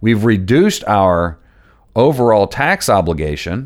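On a very clean recording with a silent background, a man with fairly low pitch uses an ordinary speaking voice and lively intonation. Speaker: financial advisor podcast host. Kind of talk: solo podcast explainer.

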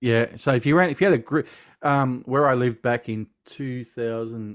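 On a very clean recording with a silent background, a man with an Australian accent talks with ordinary pitch variation. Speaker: film podcast host. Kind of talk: casual chat. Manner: animated.

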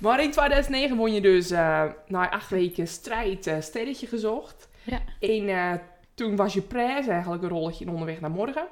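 Lively intonation at a moderate pace. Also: woman, medium pitch for a woman. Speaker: podcast co-host. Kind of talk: casual chat.

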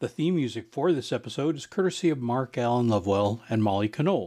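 Over a silent background in a very clean recording, a man with a plain, everyday voice speaks at a medium pitch with ordinary pitch variation. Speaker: podcast host. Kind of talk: scripted podcast intro and outro.

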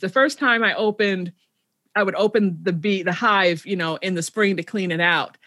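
In an American accent, an unremarkable speaking voice moves at a moderate pace with fairly even intonation, recorded very cleanly against a silent background. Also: woman. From Chicago, South Side. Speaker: podcast host. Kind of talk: interview.

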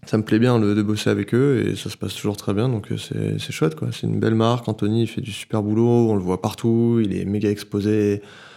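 Recorded very cleanly against a silent background, a man speaks at a fairly quick pace and fairly low pitch, his tone dark and mellow and his intonation fairly even. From Paris, France. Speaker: photographer and filmmaker. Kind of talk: casual chat. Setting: at the guest's home.

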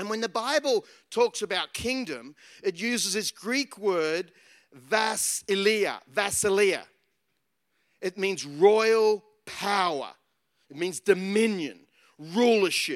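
Speaking in an Australian accent at a very slow pace, the voice leaves long, frequent pauses, and the sound is dry and close with no echo. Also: man, high pitch for a man, ordinary pitch variation. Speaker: pastor. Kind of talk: sermon.

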